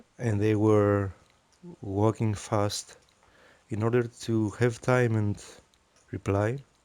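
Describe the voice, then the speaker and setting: A man's fairly low, monotone voice, very slow and very even in loudness, with long, frequent pauses. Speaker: vlogger about stuttering. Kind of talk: vlog monologue. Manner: halting.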